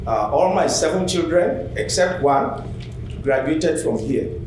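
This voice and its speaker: Over noticeable background noise and audible room echo, a man with a non-native accent speaks at a fairly slow pace with lively intonation. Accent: noticeable foreign. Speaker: public commenter, retired teacher. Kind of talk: public comment speech. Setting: public meeting at microphone.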